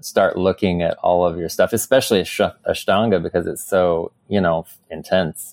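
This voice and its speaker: A man speaks with an American accent. His moderate pace comes through in a dry, close sound with no echo. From US Midwest, southern Illinois near St. Louis. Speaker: yoga teacher. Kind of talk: casual chat. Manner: animated.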